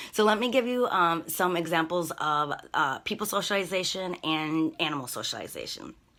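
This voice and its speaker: A woman talks at a moderate pace with hardly any pauses, her tone bright and sharp and her intonation lively. The recording is very clean, with a silent background. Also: fairly low pitch for a woman. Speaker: dog trainer. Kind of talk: live stream class.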